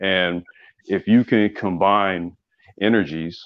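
A man talks at a low pitch, with vocal fry in his voice.

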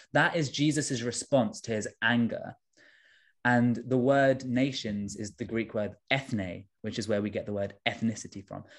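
In a very clean recording with a silent background, someone with a London accent speaks at a fairly slow pace with ordinary pitch variation. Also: man, medium pitch for a man. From South London (Tooting). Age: 20s. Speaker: trainee vicar. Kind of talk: interview.

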